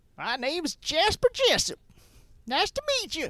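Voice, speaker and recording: The voice is a put-on character voice with extremely high pitch. It moves at a moderate pace and has very wide pitch swings. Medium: actual play. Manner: folksy, rough.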